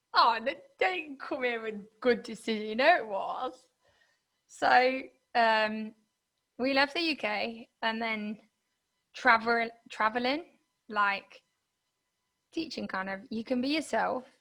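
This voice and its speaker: A woman with a British accent speaks very slowly, leaving long, frequent pauses. Her tone is bright and sharp, her pitch fairly high with ordinary variation, on a very clean recording with a silent background. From UK. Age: 20s. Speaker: podcast host. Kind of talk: interview answer.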